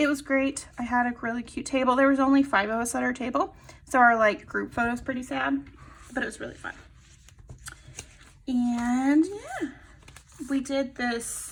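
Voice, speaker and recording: At a moderate pace, a high-pitched woman speaks with ordinary pitch variation and long, frequent pauses. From Texas. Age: 30s. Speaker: planner and sticker shop owner vlogger. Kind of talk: casual chat. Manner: animated.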